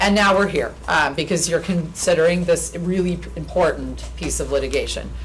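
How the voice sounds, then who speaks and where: A woman talking with hardly any pauses, in audible room echo. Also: moderate pace. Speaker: lawyer. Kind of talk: formal presentation. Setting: public meeting at a podium.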